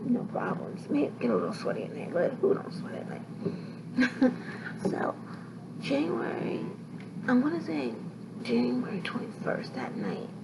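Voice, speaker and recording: Amid noticeable background noise, a woman at a medium pitch speaks at a fairly slow pace with very wide pitch swings and long, frequent pauses. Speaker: sickle cell patient vlogger. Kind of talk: casual talk to camera, health vlog. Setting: hospital room.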